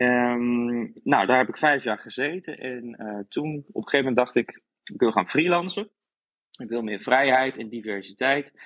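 The speaker has an unremarkable speaking voice, ordinary pitch variation and a moderate pace. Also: man, medium pitch for a man. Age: 30s. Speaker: graphic designer, former TV contestant. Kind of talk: casual interview.

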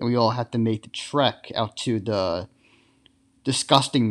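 A man speaks with an American accent at a fairly low pitch and a moderate pace, with ordinary pitch variation. The sound is dry and close with no echo, and the background is quiet. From Long Island, New York. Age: 20s. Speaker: sports podcast host. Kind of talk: solo podcast monologue.

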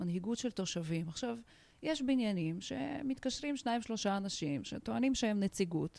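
A woman speaks at a moderate pace with a medium pitch. Her dark, mellow tone has very wide pitch swings. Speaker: organizational and social consultant. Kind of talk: interview.

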